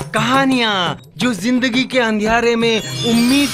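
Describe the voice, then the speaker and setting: With music playing behind him, a man raises and projects his high-pitched voice. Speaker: voice actor. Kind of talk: ad film narration.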